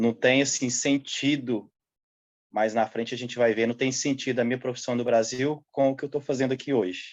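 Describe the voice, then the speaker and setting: A man's plain, everyday voice, medium-pitched with ordinary pitch variation and a moderate pace. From central Brazil (Goiás / Triângulo Mineiro). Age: 30s. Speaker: seasonal farm worker. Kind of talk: interview.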